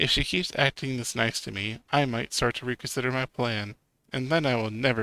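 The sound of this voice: The backdrop is quiet. An unforced reading voice carries fairly even intonation.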